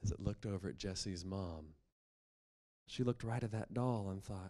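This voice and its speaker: A man talks in an ordinary speaking voice with an American accent. His fairly low pitch shows ordinary variation, and his pace is moderate. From West Virginia, Appalachia. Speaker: storyteller. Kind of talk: live storytelling performance.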